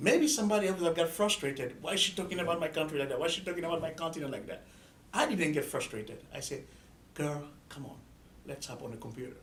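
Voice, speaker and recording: A fast-talking man with an Ivorian accent, fairly high-pitched, ordinary pitch variation, big swings in loudness and audible room echo, at a very fast pace. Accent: Ivorian (West African). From Ivory Coast. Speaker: student organizer. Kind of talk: interview.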